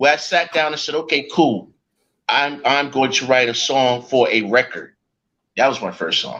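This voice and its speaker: A man speaks with a New York accent and a bright, sharp tone. His pitch is fairly high. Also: ordinary pitch variation, moderate pace. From New York, the Bronx. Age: 60s. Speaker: rapper. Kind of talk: interview.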